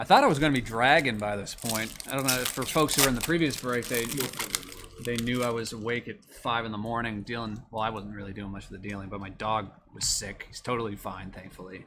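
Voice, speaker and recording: A man with an American accent, medium-pitched, talking at a very fast pace in an animated tone, with ordinary pitch variation, big swings in loudness and noticeable background noise. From Massachusetts. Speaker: card break streamer. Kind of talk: live stream card break commentary.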